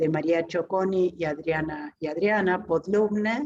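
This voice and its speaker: The delivery is very slow. Intonation remains fairly even throughout. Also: woman. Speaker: academic presenting a book. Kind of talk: book presentation talk. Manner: hesitant, many fillers.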